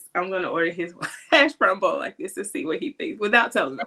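A woman talks at a very fast pace. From Atlanta, Georgia. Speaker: parenting podcast host. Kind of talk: casual interview.

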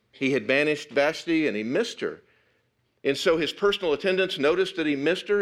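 In an animated tone, a man talks with lively intonation. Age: 60s. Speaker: pastor. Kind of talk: sermon.

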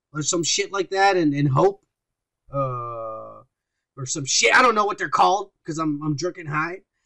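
A man's fairly high voice with lively intonation. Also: long, frequent pauses. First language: Spanish. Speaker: podcast co-host. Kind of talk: casual chat. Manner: animated.

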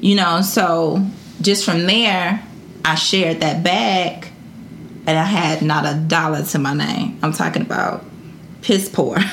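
Amid noticeable background noise and audible room echo, a woman with a fairly low pitch speaks at a fairly slow pace, with ordinary pitch variation and long, frequent pauses. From Detroit, Michigan, US. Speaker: entrepreneur and brand founder. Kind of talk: casual interview chat.

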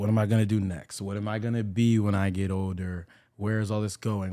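Speaking at a fairly quick pace, a man with a normal speaking voice and fairly low pitch is heard in a very clean recording with a silent background. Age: 20s. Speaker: church worship singer and youth Bible study leader. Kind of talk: casual chat.

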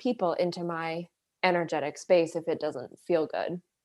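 A woman at a moderate pace on a very clean recording with a silent background. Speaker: spiritual life coach and energy healer. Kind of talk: casual interview, personal storytelling. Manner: soft-spoken, reflective.

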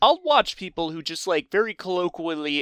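The man has an ordinary speaking voice, fairly high in pitch, with lively intonation at a moderate pace. His sound is dry and close with no echo, in a very clean recording with a silent background. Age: 20s. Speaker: podcast co-host. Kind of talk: casual chat.

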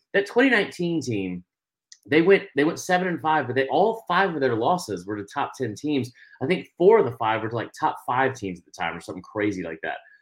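A man talks at a fairly quick pace with vocal fry and very wide pitch swings. The recording is very clean, with a silent background. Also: medium pitch for a man. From Atlanta, Georgia. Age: 30s. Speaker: college football commentator. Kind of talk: casual sports talk. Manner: halting, many fillers.

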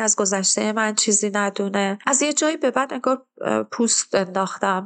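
A woman speaks at a moderate pace in a normal speaking voice, her pitch medium, against a quiet background. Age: 30s. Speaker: interviewee sharing life story. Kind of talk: personal testimony.

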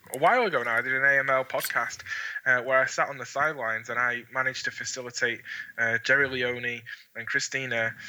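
A man with a Scottish accent talks at a fairly quick pace and medium pitch. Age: 30s. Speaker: model railroad association manager. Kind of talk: interview. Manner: enthusiastic.

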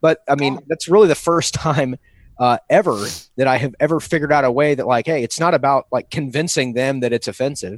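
Against a quiet background, a man with a normal speaking voice talks at a fairly quick pace with ordinary pitch variation, the sound dry and close with no echo. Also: fairly high pitch for a man. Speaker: podcast co-host. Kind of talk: casual chat.

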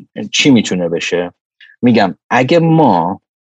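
With vocal fry and a fairly low pitch that swings very widely, a man speaks in a dry, close sound with no echo. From Iran. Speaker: microbiology professor and lab director. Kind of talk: casual interview chat.

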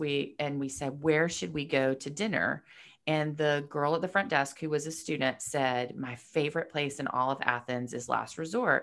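Woman with an American accent and a very deep, low pitch, moderate pace and ordinary pitch variation, on a very clean recording with a silent background. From Georgia, US (Marietta, north of Atlanta). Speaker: publicist and entrepreneur. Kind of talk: casual interview.

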